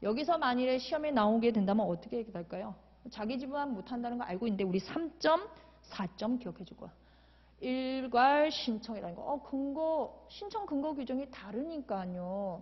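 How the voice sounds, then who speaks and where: High-pitched female speech at a moderate pace. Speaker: law exam lecturer. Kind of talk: lecture.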